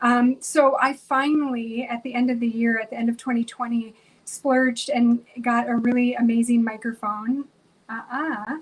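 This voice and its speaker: Amid noticeable background noise, a woman talks at a moderate pace in a high voice with monotone, flat intonation. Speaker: podcast host. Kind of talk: tutorial.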